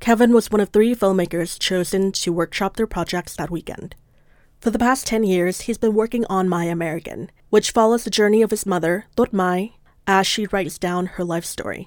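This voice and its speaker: A woman talks at a fairly quick pace in a medium pitch with ordinary pitch variation. She has an ordinary speaking voice, on a very clean recording with a silent background. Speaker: podcast producer. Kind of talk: scripted narration.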